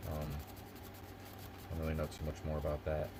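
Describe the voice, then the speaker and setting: Amid noticeable background noise, a man with an American accent speaks in a relaxed tone at a moderate pace. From Philadelphia area, US Northeast. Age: 30s. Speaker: live streamer. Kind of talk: casual live stream chat. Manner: relaxed, rambling with fillers.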